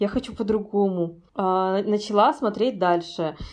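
Against a quiet background, a woman speaks fairly slowly with a dark, mellow tone and ordinary pitch variation. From Kazakhstan. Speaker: emigrant photographer. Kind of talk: casual interview. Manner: animated.

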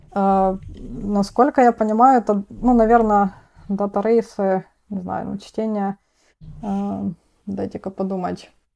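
A woman with a medium pitch and a dark, mellow tone speaks at a very slow pace, with fairly even intonation, long, frequent pauses and big swings in loudness. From Russia, Rostov-on-Don. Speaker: PhD student in programming languages. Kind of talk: technical interview. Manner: hesitant fillers.

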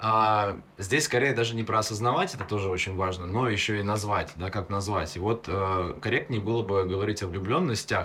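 A man is speaking here. His pitch is fairly low and his pace moderate. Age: young. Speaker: public speaking coach. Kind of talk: casual chat. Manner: articulate.

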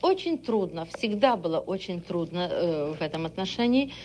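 A woman talks at a moderate pace. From Odessa, Ukraine (USSR). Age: 30s. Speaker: economist and former interpreter. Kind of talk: interview.

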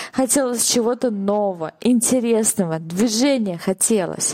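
With ordinary pitch variation, a woman talks in a dark, mellow tone. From Saint Petersburg, Russia. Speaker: podcast host, sales funnel expert. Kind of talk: personal introduction monologue.

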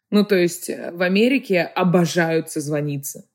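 Lively intonation on a very clean recording with a silent background. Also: woman. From Russia, Saint Petersburg. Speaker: creative director and artist. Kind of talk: interview conversation. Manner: animated.

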